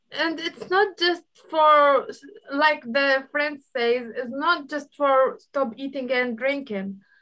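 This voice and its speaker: The voice is raised and projected, bright and sharp in tone, with lively intonation at a very slow pace. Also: woman. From Iraq. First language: Arabic. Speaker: guest speaker on culture. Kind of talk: online group chat. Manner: halting.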